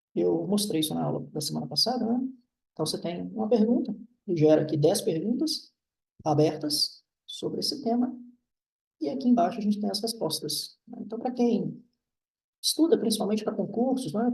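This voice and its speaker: Lively intonation from a man with a high pitch, a moderate pace, long, frequent pauses and audible room echo. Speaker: university professor. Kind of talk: lecture.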